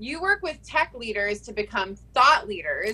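With noticeable background noise behind her, a woman speaks at a fairly high pitch using lively intonation. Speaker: podcast co-host. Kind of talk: casual chat. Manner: excitable.

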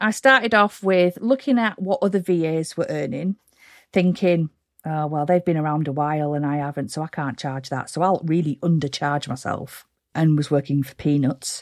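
A woman's very deep, low pitch with lively intonation at a moderate pace, dry and close with no echo. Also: very clean recording, silent background. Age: 40s. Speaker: virtual and social media assistant. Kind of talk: interview, casual chat. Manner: energetic.

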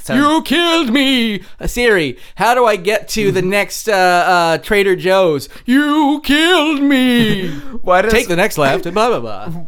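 A put-on character voice from a man, high-pitched and fairly slow, over light background noise. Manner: accusing, mocking.

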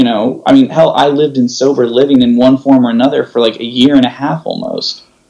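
A man with a Californian accent speaks at a fairly quick pace and a fairly high pitch. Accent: Californian American. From US West Coast, San Jose, California. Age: 30s. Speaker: podcast host in recovery. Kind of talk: casual chat. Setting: video call.

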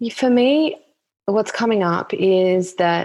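Lively intonation marks this woman's speech, delivered in an Australian accent. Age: 30s. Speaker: herbalist and author. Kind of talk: casual chat.

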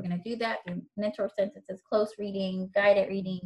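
The speaker has an American accent and a fairly quick pace. The voice is somewhat breathy. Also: woman. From Virginia. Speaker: instructional coach. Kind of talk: casual chat.

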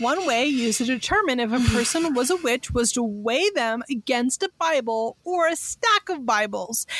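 At a fairly slow pace, a woman talks with a high pitch and lively intonation in a dry, close sound with no echo, over noticeable background noise. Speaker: podcast co-host. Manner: laughs often, casual and joking.

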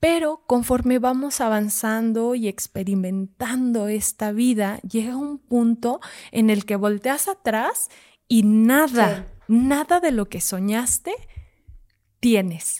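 The voice has a dark, mellow tone and ordinary pitch variation at a very slow pace. The recording is very clean with a silent background and sounds dry and close with no echo. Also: woman, fairly high pitch for a woman. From Zacatecas, Mexico. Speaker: mandala artist and workshop facilitator. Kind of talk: casual interview.

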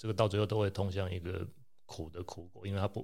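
A man talks at a fairly quick pace, somewhat breathy. His pitch varies in an ordinary way. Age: middle-aged. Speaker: anesthesiologist. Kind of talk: casual chat.

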